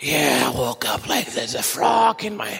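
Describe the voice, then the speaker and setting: A man does a put-on character voice at medium pitch and a moderate pace. It comes out croaky, raspy and hoarse. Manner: pretending to be ill.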